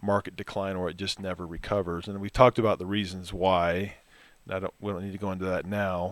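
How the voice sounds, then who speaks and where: On a very clean recording with a silent background, a man with an ordinary speaking voice talks at a fairly quick pace in a fairly low pitch. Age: 50s. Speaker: financial advisor. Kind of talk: casual chat.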